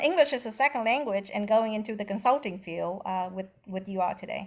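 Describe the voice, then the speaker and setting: A woman with a Vietnamese accent speaks at a fairly quick pace and a medium pitch, with ordinary pitch variation. The recording is very clean, with a silent background. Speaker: retired actuarial consultant. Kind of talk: panel discussion.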